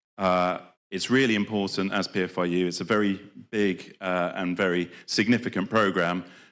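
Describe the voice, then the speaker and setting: With a British accent, a man speaks at a very deep, low pitch and fairly even intonation on a very clean recording with a silent background. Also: moderate pace. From Britain. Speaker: development programme representative. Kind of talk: conference presentation. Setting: conference stage with audience. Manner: hesitant with fillers.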